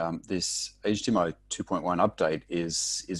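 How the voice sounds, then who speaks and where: A man's very deep, low voice with monotone, flat intonation over a quiet background. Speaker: technical consultant. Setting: video call, 14 hours ahead of US Eastern. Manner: hesitant, repeats words.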